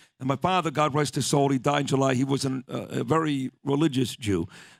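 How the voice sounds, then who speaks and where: Speaking with a New York accent, a man talks at a fairly quick pace in a fairly high pitch with ordinary pitch variation, the sound dry and close with no echo. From Brooklyn, New York. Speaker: radio host. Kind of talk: casual chat.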